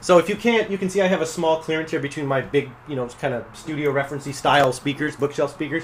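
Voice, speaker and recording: A man talks at a very fast pace in a fairly high pitch, with ordinary pitch variation. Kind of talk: casual product review to camera. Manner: fast, rambling.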